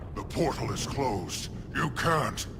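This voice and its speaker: Putting on a character voice, a man speaks at medium pitch and a fairly slow pace. Loud background noise fills the recording. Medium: video game. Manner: measured, authoritative.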